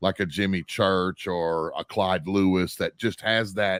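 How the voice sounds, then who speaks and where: A man with an American accent is heard in a very clean recording with a silent background and a dry, close sound with no echo. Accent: country accent in casual talk. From Arkansas, US South. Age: 50s. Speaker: radio network producer. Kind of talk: casual interview chat. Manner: relaxed, halting with many fillers.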